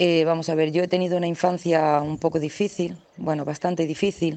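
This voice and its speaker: Her intonation monotone and flat, a woman with a very deep, low pitch speaks at a moderate pace. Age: 40s. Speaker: listener leaving voice message. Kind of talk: recorded voice message. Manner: halting.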